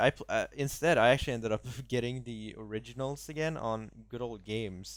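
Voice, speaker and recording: A man with an ordinary speaking voice, medium in pitch with ordinary pitch variation. He keeps a moderate pace in a very clean recording with a silent background. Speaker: gaming podcast co-host. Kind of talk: casual chat.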